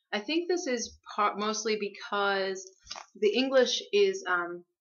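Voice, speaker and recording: Medium pitch and ordinary pitch variation in a woman's unremarkable speaking voice. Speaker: student teacher presenting a book collection. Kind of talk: class presentation.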